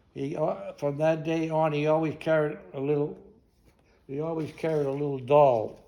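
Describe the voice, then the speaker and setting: Speaking at a moderate pace with audible room echo, a man uses a fairly high pitch, a dark, mellow tone and flat, monotone intonation. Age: 90s. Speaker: war veteran. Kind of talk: talk to an audience. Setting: library talk. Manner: halting.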